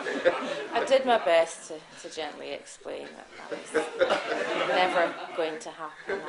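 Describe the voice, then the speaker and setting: Amid crowd noise in the background, a woman talks at a very slow pace with big swings in loudness. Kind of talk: comic storytelling performance.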